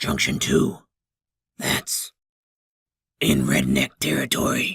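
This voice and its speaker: A raspy, put-on character voice moves at a very slow pace. The sound is dry and close, with no echo. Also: man, very deep, low pitch for a man. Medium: read story. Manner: knowing, slightly smug.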